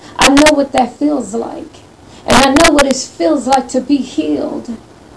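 Through noticeable background noise, a woman with a high pitch speaks at a moderate pace with fairly even intonation. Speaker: prayer participant. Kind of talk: fervent group prayer. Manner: fervent, worshipful.

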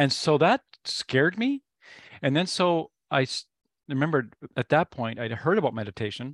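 A man with a fairly high pitch speaks at a moderate pace with lively intonation and long, frequent pauses, recorded in a dry, close sound with no echo. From Canada. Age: 50s. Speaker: meditation teacher and musician. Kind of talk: casual interview chat. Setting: video call.

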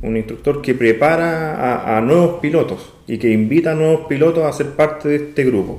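Over noticeable background noise, a man talks at a moderate pace with hardly any pauses. His pitch is fairly high, with ordinary variation. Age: 30s. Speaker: amateur pilot. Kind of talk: interview.

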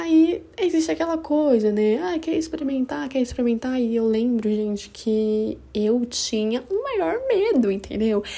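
Her pitch is fairly high. The woman speaks at a fairly slow pace. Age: 20s. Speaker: podcaster. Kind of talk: casual personal monologue. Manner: animated.

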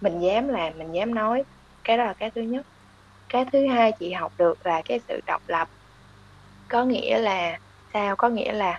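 A woman speaks with a normal speaking voice at a moderate pace. Her pitch varies in an ordinary way. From Vietnam. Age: 20s. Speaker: consumer analyst. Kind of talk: interview.

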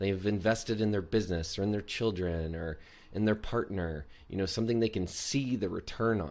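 Pitch shifts in an ordinary way as an unremarkable speaking voice proceeds at a medium tempo. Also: man, fairly low pitch for a man. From US Deep South. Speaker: podcast co-host, actor and coach. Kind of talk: casual chat. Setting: video call.

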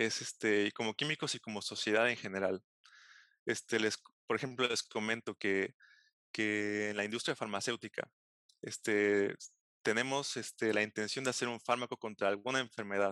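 With a Veracruz Mexican accent, a man speaks at a moderate pace in a fairly low pitch, his tone bright and sharp, his intonation fairly even, and the sound dry and close with no echo. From Mexico, Xalapa, Veracruz. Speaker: postdoctoral chemist. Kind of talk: interview.

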